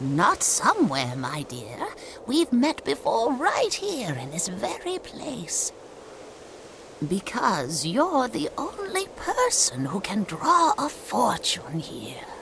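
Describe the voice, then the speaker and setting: A woman performs a cartoonish character voice at a very slow pace. Background noise is clearly audible. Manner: measured, cryptic.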